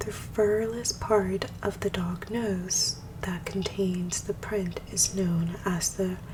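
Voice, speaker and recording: A woman at a medium pitch speaks very slowly with hardly any pauses and a monotone, flat intonation, over noticeable background noise. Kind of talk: ASMR soft-spoken reading of dog facts.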